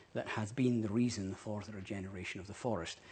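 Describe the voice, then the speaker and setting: Speaking in a Scottish accent, a man has a medium-pitched, somewhat breathy voice. His pitch shows ordinary variation. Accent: Scottish, intriguing to host. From Scotland, Dundee. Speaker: ecologist. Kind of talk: public talk. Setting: parliament event with audience, live streamed.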